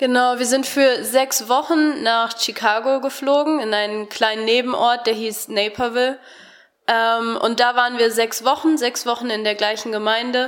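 Her high-pitched voice carries fairly even intonation. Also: moderate pace. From Germany (Harsewinkel, Gütersloh district). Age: 20s. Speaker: Bible school student. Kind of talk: radio interview.

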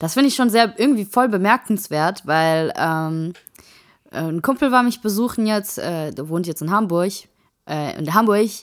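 An unremarkable speaking voice of a woman, medium in pitch, with lively intonation at a moderate pace, on a very clean recording with a silent background. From Saarland. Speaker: podcast co-host. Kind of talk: casual chat.

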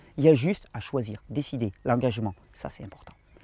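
Speaking at a very fast pace with lively intonation, a man comes through dry and close, with no echo. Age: 40s. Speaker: health and fasting video creator. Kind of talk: informal video talk to viewers. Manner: hesitant with fillers and repetitions.

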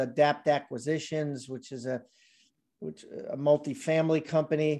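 A man speaks at a fairly slow pace with a dark, mellow tone and an American accent. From Maryland, US. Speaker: real estate entrepreneur and investor. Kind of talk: interview. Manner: halting, many fillers and repetitions.

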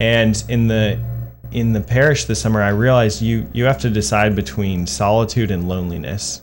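A man with an American accent speaks at a moderate pace, his fairly low voice showing ordinary pitch variation. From northern Virginia. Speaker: seminarian. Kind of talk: interview. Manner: halting, many fillers and repeated words.

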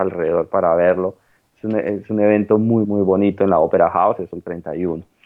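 A man at a fairly low pitch speaks at a moderate pace in a monotone, flat intonation. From Colombia. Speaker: economist studying English abroad. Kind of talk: interview. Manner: halting, many fillers and repetitions.

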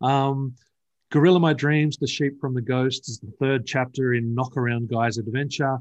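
Against a quiet background, a man with an Australian accent talks at a moderate pace, his medium-pitched voice keeping a fairly even intonation. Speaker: comic book writer. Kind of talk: interview. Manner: halting.

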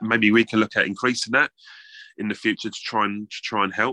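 A man with a fairly low pitch and a bright, sharp tone is heard in a dry, close sound with no echo.

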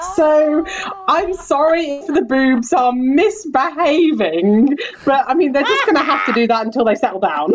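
A woman with a British accent talks at a moderate pace in a high voice, her loudness very even throughout. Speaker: podcast host, tour guide.

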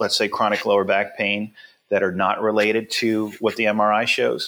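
A man speaks at a moderate pace. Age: 50s. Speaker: fitness and pain management expert, company founder. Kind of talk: interview.

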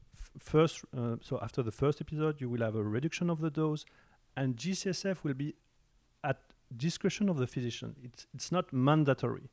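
A fairly quick delivery with a French accent, on a very clean recording with a silent background. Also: man, fairly high pitch for a man, ordinary pitch variation. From France. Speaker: oncologist. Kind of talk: interview. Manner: halting.

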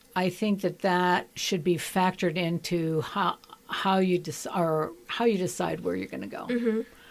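A woman's ordinary speaking voice, fairly low in pitch, with ordinary pitch variation and a moderate pace. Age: 60s. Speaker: retired psychiatrist. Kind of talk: radio interview. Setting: radio studio.

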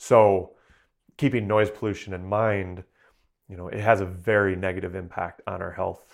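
In an ordinary speaking voice, a man with an American accent talks at a moderate pace with fairly low pitch and fairly even intonation, in a very clean recording with a silent background. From southeastern Michigan. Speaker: wildlife sound recordist and researcher. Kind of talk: interview.

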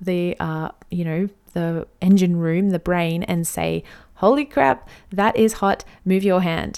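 A woman talks at a fairly slow pace. Her recording is very clean, the background silent. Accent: Australian. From Australia. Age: 30s. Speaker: podcast host. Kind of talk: solo podcast monologue.

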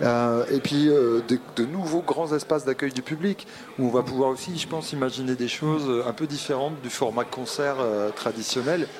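Here a man speaks at a medium pitch and a moderate pace. His pitch varies in an ordinary way, and there is noticeable background noise. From Brittany. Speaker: concert venue director. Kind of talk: interview. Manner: halting.

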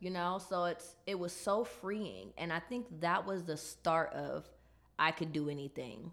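Marked by vocal fry, a woman's fairly low voice unfolds at a fairly slow pace with ordinary pitch variation. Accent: American. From Chicago, inner city. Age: 20s. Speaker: entrepreneur. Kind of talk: casual interview.

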